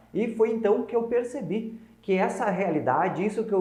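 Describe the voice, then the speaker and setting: With a southern Brazilian accent, a man speaks at a moderate pace amid noticeable background noise and audible room echo. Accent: gaúcho accent, noticeable. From southern Brazil, Rio Grande do Sul (north coast). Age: 20s. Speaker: lawyer and legal adviser giving business talks. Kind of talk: online talk to small business owners.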